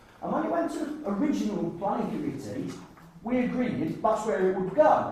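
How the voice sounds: A slightly mellow voice with big pitch swings, heavy with room echo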